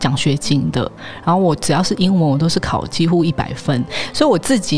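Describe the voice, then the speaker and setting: A woman's very deep, low voice at a fairly quick pace, with ordinary pitch variation and music in the background. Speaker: podcast host. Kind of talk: interview.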